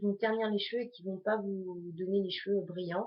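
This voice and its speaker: A woman's monotone, flat intonation carries her fairly quick speech. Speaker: beauty vlogger. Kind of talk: tutorial.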